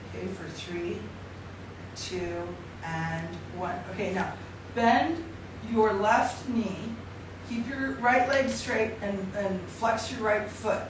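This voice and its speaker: With audible room echo and noticeable background noise, a woman speaks very slowly at a fairly high pitch with ordinary variation, pausing long and often. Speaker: yoga instructor. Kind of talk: live-streamed yoga class with step-by-step cueing of poses and breath counts. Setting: live video stream from home. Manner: encouraging, repetitive coaching cues like work at it, work at it; gentle, slow countdowns through stretches. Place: home room. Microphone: camera far.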